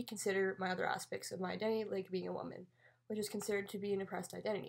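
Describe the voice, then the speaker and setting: Very fast speech in a Canadian accent. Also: woman. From Ontario, Canada. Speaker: student. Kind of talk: scripted narration.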